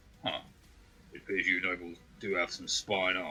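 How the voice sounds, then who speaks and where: Putting on a character voice, a man speaks at a moderate pace with a very deep, low pitch and monotone, flat intonation. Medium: actual play. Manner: blunt, gruff.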